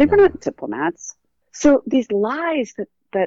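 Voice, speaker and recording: With a West Coast US accent, a woman speaks fairly slowly in a dark, mellow tone, the sound dry and close with no echo. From Oregon, US West Coast. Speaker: author and journalist. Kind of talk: interview.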